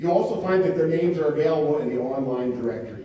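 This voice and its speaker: The speaker has an American accent and ordinary pitch variation. Noticeable background noise and audible room echo fill the recording. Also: man. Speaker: academy official presenting inductees. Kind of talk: ceremony speech. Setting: auditorium with audience. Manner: formal.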